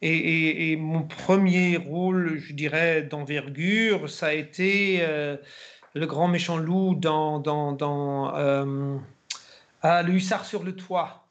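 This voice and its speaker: A man with a fairly high pitch speaks at a very slow pace, keeping his intonation fairly even. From Germany. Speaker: actor. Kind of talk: interview.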